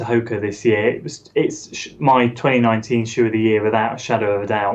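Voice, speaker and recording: Monotone, flat intonation carries speech delivered at a fairly quick pace. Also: man. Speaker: running YouTuber. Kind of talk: casual chat. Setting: live stream.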